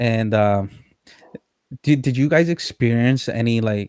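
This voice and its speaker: A man speaks with a Spanish accent at a medium pitch. The sound is dry and close with no echo. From Puerto Rico. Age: 30s. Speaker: podcast host. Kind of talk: interview. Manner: halting, many fillers and repeats.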